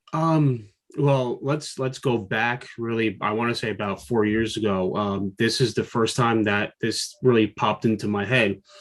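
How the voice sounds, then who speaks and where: With an American accent, a man talks at a moderate pace and medium pitch, using ordinary pitch variation and hardly any pauses. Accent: New Jersey accent (jokingly denies it). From New Jersey. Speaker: freelance toy designer, figure line creator. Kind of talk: interview.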